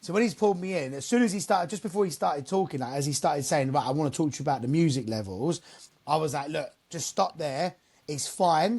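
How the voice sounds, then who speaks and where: Against a quiet background, a man with an English accent talks at a very fast pace. His pitch is fairly high and his intonation is lively. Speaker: mobile DJ. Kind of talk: casual chat. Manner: loud.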